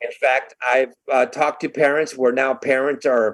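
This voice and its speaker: Fairly slow, fairly even speech from a man with an American accent at a medium pitch. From Southern California (Burbank). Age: 60s. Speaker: advocacy organization member, bereaved parent. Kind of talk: podcast interview.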